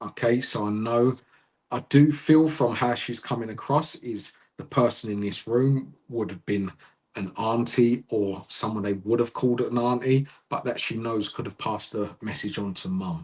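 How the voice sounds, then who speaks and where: A Cockney accent at a moderate pace with ordinary pitch variation. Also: man, medium pitch for a man. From London, England. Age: 30s. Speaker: psychic medium. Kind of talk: live mediumship reading.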